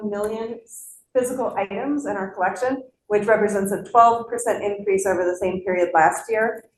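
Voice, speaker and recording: At a moderate pace, a woman talks in a plain, everyday voice. Her pitch sits in the medium range. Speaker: library director presenting to budget committee. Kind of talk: budget presentation at public meeting.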